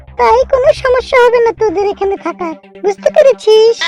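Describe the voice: A squeaky, cartoonish character voice with lively intonation sounds dry and close with no echo, over faint music in the background. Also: woman, extremely high pitch for a woman, moderate pace.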